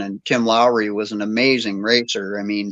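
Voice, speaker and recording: Against a quiet background, a man's voice sounds bright and sharp. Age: 60s. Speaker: shop owner and racer. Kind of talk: casual chat. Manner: animated.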